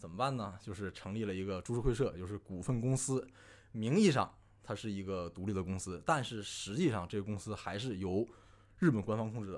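A man with an unremarkable speaking voice talks at a fairly quick pace, fairly low in pitch with ordinary pitch variation, on a very clean recording with a silent background. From Northeast China. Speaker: amateur history enthusiast. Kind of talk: casual chat.

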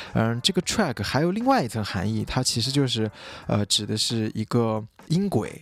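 In a very clean recording with a silent background, a man with an ordinary speaking voice talks at medium pitch and a fairly quick pace. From Xinjiang, China. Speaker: podcast host and clothing brand founder. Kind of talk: solo podcast monologue. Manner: casual with frequent fillers.

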